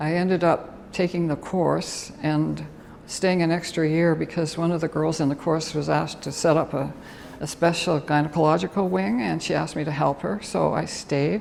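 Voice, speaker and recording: A woman speaks at a moderate pace with a Canadian accent. Her pitch is very deep and low. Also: ordinary pitch variation. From Toronto, Canada. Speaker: retired nurse. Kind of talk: interview answer.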